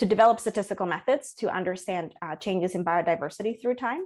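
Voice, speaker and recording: In a very clean recording with a silent background, a woman speaks at a medium pitch with a Spanish accent. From Colombia, Bogota. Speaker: ecology professor. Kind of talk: interview. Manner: many filler words and restarts.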